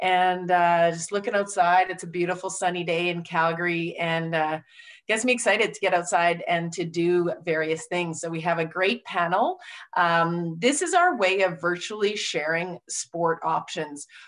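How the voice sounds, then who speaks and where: A woman with a plain, everyday voice, fairly low in pitch, speaks at a moderate pace with fairly even intonation against a quiet background. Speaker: webinar host. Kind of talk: host introduction. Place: office. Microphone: video call.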